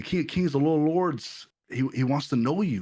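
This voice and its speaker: The background is silent and the recording very clean. A man is the one talking. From Los Angeles, US. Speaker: pastor and print shop owner. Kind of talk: testimony. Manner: halting, many repetitions.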